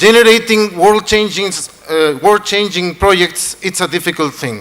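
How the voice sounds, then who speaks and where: With a Chilean accent, a man talks at a moderate pace in a high pitch. His pitch varies in an ordinary way, and there is noticeable background noise. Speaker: event host. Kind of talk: event hosting on stage.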